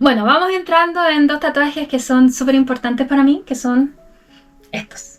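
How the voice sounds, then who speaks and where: A woman with a Chilean accent speaks at a high pitch with ordinary pitch variation while music plays in the background. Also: moderate pace. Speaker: Spanish teacher. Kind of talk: casual talk to camera. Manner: casual, unscripted.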